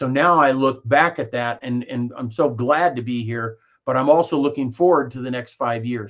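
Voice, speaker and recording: A man with a Midwestern American accent and a medium pitch. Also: ordinary pitch variation, moderate pace. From Kansas. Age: 60s. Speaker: network marketer. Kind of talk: interview. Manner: halting.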